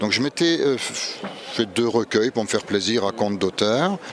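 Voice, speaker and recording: Noticeable background noise fills the recording. Through it, a man's voice comes. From Moselle, France (Three Borders area near Luxembourg). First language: Luxembourgish (speaking French). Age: 60s. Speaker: poet and novelist, retired English teacher. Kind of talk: interview. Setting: book festival.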